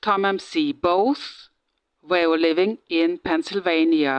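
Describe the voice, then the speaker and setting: With a German accent, a woman talks at a very slow pace in a fairly low pitch. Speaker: true crime vlogger. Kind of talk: casual monologue. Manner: halting, many fillers.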